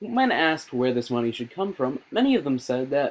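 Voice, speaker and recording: This man's pitch swings very widely as he talks. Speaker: news anchor (satirical). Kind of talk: satirical fake news anchor read; news anchor delivery.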